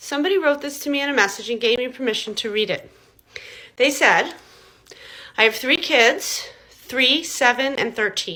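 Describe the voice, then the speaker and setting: With an American accent, a woman speaks in a raised, projected voice at a high pitch and with a bright, sharp tone. Her delivery has long, frequent pauses. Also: lively intonation, moderate pace. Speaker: parenting coach. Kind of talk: talking-head video, advice monologue.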